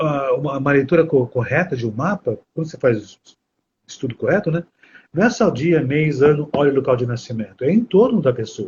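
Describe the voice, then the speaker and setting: A somewhat breathy man's voice, fairly high in pitch, with lively intonation and a fairly quick pace. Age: 60s. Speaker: astrology teacher. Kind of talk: live stream conversation. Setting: live stream.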